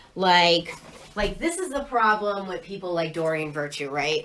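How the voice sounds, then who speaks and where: A woman with an animated tone swings very widely in pitch amid noticeable background noise. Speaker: spiritual content creator. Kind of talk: casual livestream monologue. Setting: Facebook live video.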